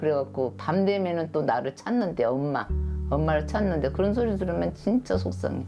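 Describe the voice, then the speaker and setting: A woman at a moderate pace, her loudness very even, with music in the background. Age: 70s. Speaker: foster mother. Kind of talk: documentary interview answer. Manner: casual, conversational.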